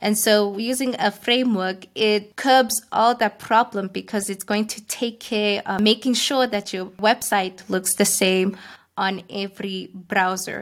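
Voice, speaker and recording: A woman with a non-native accent speaks at a medium pitch and a fairly slow pace. Her intonation is fairly even, with hardly any pauses. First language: not English. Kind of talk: interview.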